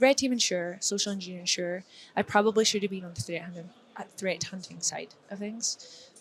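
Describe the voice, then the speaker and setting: A woman with a Dundee accent at a medium pitch, with big swings in loudness. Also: ordinary pitch variation, fairly quick pace. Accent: Scottish (Dundee). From Scotland, Dundee. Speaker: security professional, conference speaker. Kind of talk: casual chat. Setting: conference hallway.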